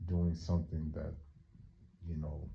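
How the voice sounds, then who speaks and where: A man's very deep, low voice carries a dark, mellow tone and sounds somewhat breathy. The recording has audible room echo. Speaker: vlogger. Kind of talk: casual vlog monologue. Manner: halting, many fillers.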